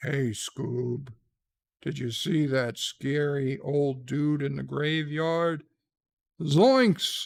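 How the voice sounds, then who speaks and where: A man does a put-on character voice at a fairly high pitch. He delivers it at a very slow pace. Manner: goofy.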